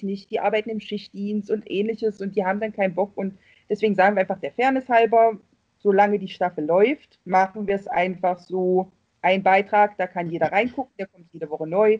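Recorded with a dry, close sound and no echo, a woman at a medium pitch talks at a fairly quick pace in an unremarkable speaking voice. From East Germany. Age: 40s. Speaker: Facebook fan group admin. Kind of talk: casual chat.

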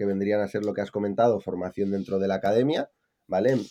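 A man speaks with an unremarkable speaking voice, fairly low in pitch. His pitch varies in an ordinary way. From Spain, Palencia (Castile and León). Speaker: e-commerce entrepreneur. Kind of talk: casual interview.

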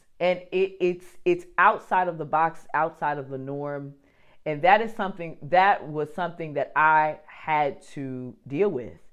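A woman speaks at a fairly slow pace in a very deep, low pitch, with ordinary pitch variation, big swings in loudness and a quiet background. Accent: New Jersey. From New Jersey, US. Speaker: podcast host, entrepreneur. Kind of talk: solo podcast monologue. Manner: casual, animated.

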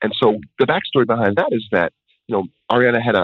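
Words come very fast from a man speaking with an American accent. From New York area, US. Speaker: music producer and songwriter, educator. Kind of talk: interview. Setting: phone or remote line.

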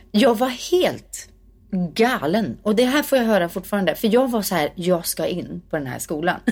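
In a normal speaking voice, a woman talks at a moderate pace and medium pitch. Her intonation is lively, and the recording is very clean with a silent background. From Sweden, Värmdö near Stockholm. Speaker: singer and actress. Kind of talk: interview conversation.

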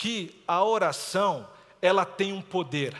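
A man speaks at a high pitch. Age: 40s. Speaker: pastor. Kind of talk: sermon. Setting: church.

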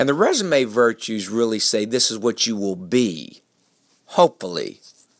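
With a normal speaking voice, a man talks at medium pitch and a moderate pace, the sound dry and close with no echo on a very clean recording with a silent background. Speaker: motivational speaker. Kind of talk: short motivational talk about eulogy virtues, delivered as a polished radio-style segment. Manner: earnest, warm, reflective, with a steady persuasive cadence.

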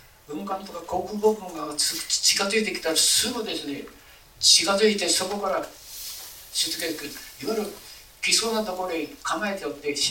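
Over noticeable background noise and audible room echo, a man with a high pitch projects a raised voice at a moderate pace, using ordinary pitch variation and long, frequent pauses. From Japan, Yamaguchi Prefecture (Hikari). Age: 80s+. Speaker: local historian, retired teacher. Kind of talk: lecture. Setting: lecture hall with audience. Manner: halting.

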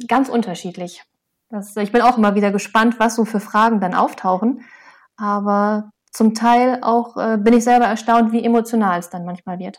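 Speaking at a moderate pace with fairly even intonation, a woman with a fairly high pitch uses an ordinary speaking voice in a very clean recording with a silent background. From Lower Saxony, Osnabrück area. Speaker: soil scientist and author. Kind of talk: interview.

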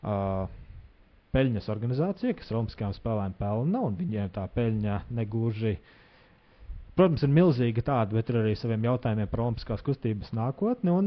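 A man with an unremarkable speaking voice at a medium pitch talks with lively intonation and big swings in loudness. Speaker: podcast host. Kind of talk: interview.

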